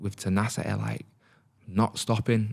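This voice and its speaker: Heard on a very clean recording with a silent background, a man with a Salford accent speaks in a dark, mellow tone at a moderate pace with fairly even intonation. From northern England, Salford (Manchester). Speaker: fitness business owner, podcast host. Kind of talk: solo podcast monologue, personal story. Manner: casual, with many fillers and restarts.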